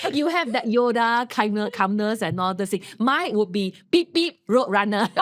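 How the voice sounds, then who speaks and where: Using lively intonation at a fairly slow pace, a woman with a fairly high pitch speaks in an unremarkable speaking voice. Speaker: podcast co-host. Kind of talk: casual chat.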